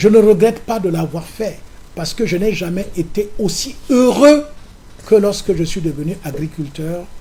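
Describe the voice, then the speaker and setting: This man's voice is high, with lively intonation and a fairly slow pace. Background noise is noticeable throughout. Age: 70s. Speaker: opposition politician. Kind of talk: political interview.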